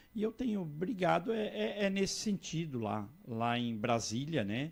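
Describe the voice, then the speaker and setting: Speaking at a fairly slow pace, a man with fairly high pitch makes very wide pitch swings. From Santa Catarina, Brazil. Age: 60s. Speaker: politician. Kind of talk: interview. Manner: repetitive false starts.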